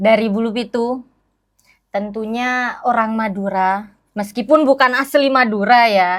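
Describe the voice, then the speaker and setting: Her pitch fairly high, a woman talks at a fairly slow pace. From Malang Regency, East Java, Indonesia (Madurese descent). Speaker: teacher. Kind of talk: interview. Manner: animated.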